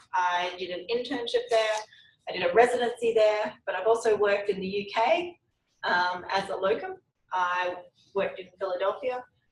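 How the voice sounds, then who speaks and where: With an Australian accent, a woman speaks at a moderate pace and medium pitch, with ordinary pitch variation. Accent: Australian, noticeable. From Australia, Brisbane. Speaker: veterinary oncologist, university lecturer. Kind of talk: lecture. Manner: casual, with frequent ums.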